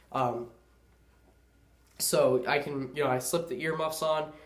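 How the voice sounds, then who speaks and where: A man speaks in a flat monotone, with audible echo from the room. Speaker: gun and gear video maker. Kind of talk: casual gear tutorial. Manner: casual, filler-heavy.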